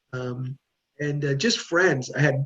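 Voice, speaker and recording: A man talks very slowly in a fairly high, somewhat breathy voice. His intonation stays fairly even. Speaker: journalist and podcaster. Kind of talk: interview answer.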